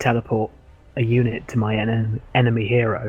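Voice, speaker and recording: A soft-spoken man talks at medium pitch in a monotone, flat intonation. His voice is somewhat breathy. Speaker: co-caster of game tournament. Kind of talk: live game commentary chat.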